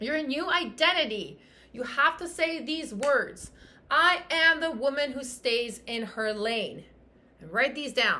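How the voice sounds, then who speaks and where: A woman's raised, projected voice, bright and sharp in tone, animated and passionate, with lively intonation at a fairly slow pace amid audible room echo. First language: French. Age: 30s. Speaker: fitness coach and podcast host. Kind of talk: motivational podcast monologue. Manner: animated, passionate.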